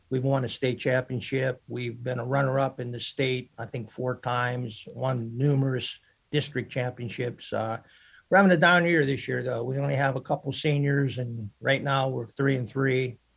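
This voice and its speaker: A man's medium-pitched, somewhat breathy voice with an American accent and fairly even intonation, on a very clean recording with a silent background. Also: moderate pace. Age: 70s. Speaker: baseball and football coach. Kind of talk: podcast interview. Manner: halting, many fillers.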